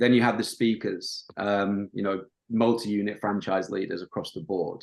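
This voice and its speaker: In a Yorkshire accent, a man talks at a moderate pace with a fairly low pitch and monotone, flat intonation. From northern England, Yorkshire coast. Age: 30s. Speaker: marketing agency owner. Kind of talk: podcast interview. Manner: casual, many filler ums.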